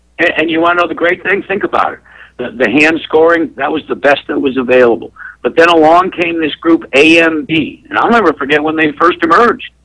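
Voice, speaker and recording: A man with fairly high pitch and a bright, sharp tone talks at a fairly quick pace with ordinary pitch variation. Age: 60s. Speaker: race track promoter. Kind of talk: radio talk show interview. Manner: animated.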